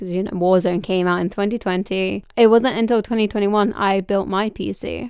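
With hardly any pauses, a woman speaks at a medium pitch in monotone, flat intonation, in a very clean recording with a silent background. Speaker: podcast host. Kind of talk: scripted intro then casual interview. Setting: studio.

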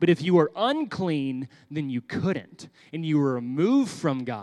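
A man speaks at a fairly slow pace with a Texan accent. The background is quiet. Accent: Texan American. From Texas. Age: 30s. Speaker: pastor. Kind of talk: sermon for children. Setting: church.

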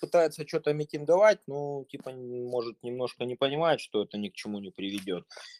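With an ordinary speaking voice at a medium pitch, a man talks at a fairly quick pace with hardly any pauses, lively intonation and big swings in loudness, in a dry, close sound with no echo. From Russia. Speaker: urban farmer. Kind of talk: group discussion.

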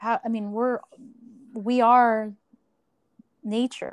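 A woman speaks with an American accent in a dry, close sound with no echo. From rural Pennsylvania, US. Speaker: podcast host. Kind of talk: interview.

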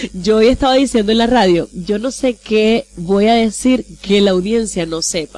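This is a normal speaking voice moving at a fairly slow pace with ordinary pitch variation. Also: woman. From Venezuela, Maracaibo. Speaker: radio host and journalist. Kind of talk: interview. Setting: studio.

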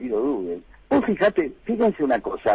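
A man with a Rioplatense accent speaks at a fairly slow pace. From Buenos Aires conurbano, Argentina. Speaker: humorist and author. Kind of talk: radio interview. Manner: halting, repeats words.

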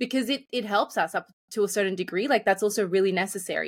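In an Australian accent, a woman talks at a fairly quick pace and medium pitch with ordinary pitch variation. The sound is dry and close, with no echo. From Australia, Sydney (moved from Colombia young). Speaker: life and business coach. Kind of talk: podcast interview.

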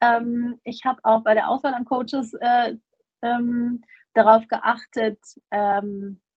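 Over music in the background, a woman speaks in a high pitch with fairly even intonation. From Germany. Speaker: festival organizer. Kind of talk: interview.

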